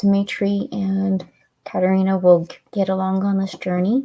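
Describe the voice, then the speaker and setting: A woman speaks in a dark, mellow tone that is somewhat breathy, her intonation flat and monotone. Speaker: author reading her own book. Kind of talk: casual chat wrapping up a reading livestream. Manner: tongue-tied at times.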